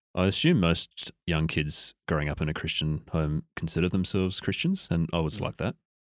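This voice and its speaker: A man with a very deep, low pitch, fairly even intonation, a moderate pace and hardly any pauses, in a dry, close sound with no echo. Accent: Australian. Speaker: podcast guest.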